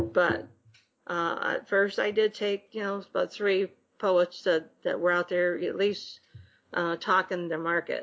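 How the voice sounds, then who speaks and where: A woman's normal speaking voice, fairly low in pitch, with fairly even intonation. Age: 50s. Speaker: book publisher and writer. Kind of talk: casual chat.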